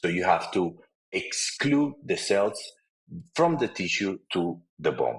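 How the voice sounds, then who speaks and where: Someone speaks at a very slow pace in a Spanish accent. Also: man. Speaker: periodontist and lecturer. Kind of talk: webinar lecture. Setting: online webinar. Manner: halting, many fillers and repetitions.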